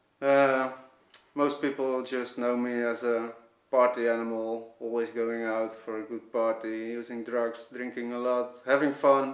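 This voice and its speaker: Speaking with a Dutch accent, a man at medium pitch talks fairly slowly in a monotone, flat intonation. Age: 30s. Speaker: vlogger. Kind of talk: testimony. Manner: halting.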